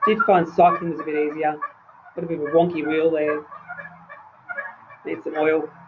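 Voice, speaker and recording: With noticeable background noise behind him, a man of fairly high pitch speaks at a moderate pace with fairly even intonation. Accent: Australian. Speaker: nurse consultant presenting a webinar. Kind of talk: lecture. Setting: webinar.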